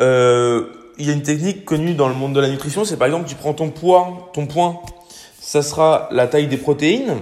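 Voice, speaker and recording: Music plays in the background as a man with a fairly high pitch and ordinary pitch variation speaks at a moderate pace. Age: 20s. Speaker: fitness and nutrition podcaster. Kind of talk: casual solo podcast advice.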